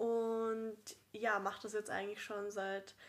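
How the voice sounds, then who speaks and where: With a bright, sharp tone, a woman's voice sits at a fairly high pitch. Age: 20s. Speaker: actress and podcast co-host. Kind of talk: casual chat.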